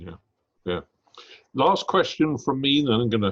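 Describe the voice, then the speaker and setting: With a British accent, a man speaks with ordinary pitch variation. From Britain. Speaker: business school executive and interviewer. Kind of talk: interview conversation. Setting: video call.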